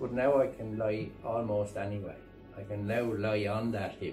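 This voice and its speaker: Clear music plays behind a man speaking at a moderate pace. His fairly low voice keeps a fairly even intonation. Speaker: farmer. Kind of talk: interview answer. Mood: content, relieved.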